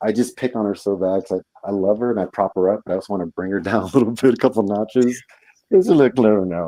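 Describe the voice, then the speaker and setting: A man with a fairly low pitch and a dark, mellow tone talks at a very fast pace with ordinary pitch variation, the sound dry and close with no echo. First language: Spanish. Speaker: live stream guest. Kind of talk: casual chat. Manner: animated.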